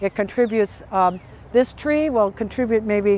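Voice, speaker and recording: The woman's voice sits fairly high in pitch. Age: 70s. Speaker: tree planting instructor. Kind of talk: outdoor demonstration; informal address to volunteers.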